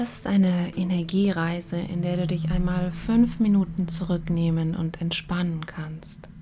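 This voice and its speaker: A woman's calm, soothing voice, fairly low in pitch, with a monotone, flat delivery at a fairly slow pace, hardly any pauses, and noticeable background noise. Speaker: meditation guide. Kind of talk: guided meditation. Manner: slow, calm, soothing, with long pauses; gentle, measured, counting breaths in even rhythm.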